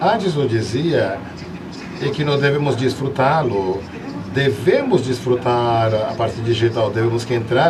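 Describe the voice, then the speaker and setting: Amid noticeable background noise and audible room echo, a man talks at medium pitch with ordinary pitch variation. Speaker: seminar panelist on children's literature. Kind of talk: panel discussion talk. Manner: animated.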